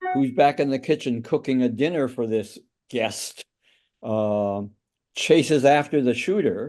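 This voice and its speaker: In an American accent, a man of medium pitch talks very slowly with lively intonation over a quiet background. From US West Coast, Oakland California. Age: 80s+. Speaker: author and journalist. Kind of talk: interview storytelling. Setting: podcast. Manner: halting, many fillers.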